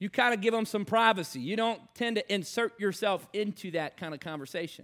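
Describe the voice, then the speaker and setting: In an American accent, a man speaks in a raised, projected voice, high in pitch and bright and sharp in tone. His pace is fairly quick on a very clean recording with a silent background. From Virginia, US. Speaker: evangelist. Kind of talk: sermon.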